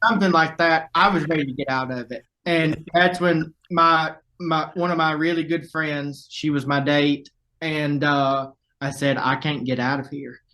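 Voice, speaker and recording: A man's fairly high pitch with a bright, sharp tone, a Southern US accent and fairly even intonation. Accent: Southern drawl. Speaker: viral video subject. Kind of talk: casual interview, storytelling. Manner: casual, swearing, halting.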